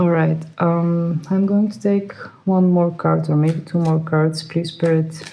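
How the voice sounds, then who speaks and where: With a non-native accent, the speaker has a dark, mellow tone and fairly even intonation, with audible room echo. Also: woman, fairly low pitch for a woman. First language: not English. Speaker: tarot reader. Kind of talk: tarot reading monologue. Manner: hesitant, many fillers.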